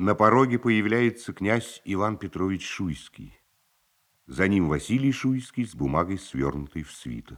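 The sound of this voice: A man talks at a low pitch with lively intonation. His pace is fairly slow.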